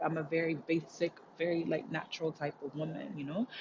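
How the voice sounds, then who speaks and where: Somewhat breathy, a woman speaks with a fairly low pitch in an animated tone. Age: 30s. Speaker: spiritual podcaster. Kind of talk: motivational solo talk. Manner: animated, frequent laughter.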